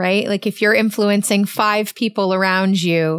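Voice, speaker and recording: A woman with a Canadian accent has a plain, everyday voice and ordinary pitch variation, recorded very cleanly against a silent background with a dry, close sound and no echo. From Canada. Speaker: podcast host. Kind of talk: interview.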